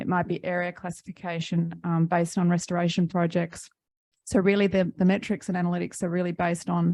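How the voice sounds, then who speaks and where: A woman's fairly low voice with an Australian accent, monotone, flat intonation and a very fast pace. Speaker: environmental tech company representative. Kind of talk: panel discussion. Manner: hesitant, many fillers.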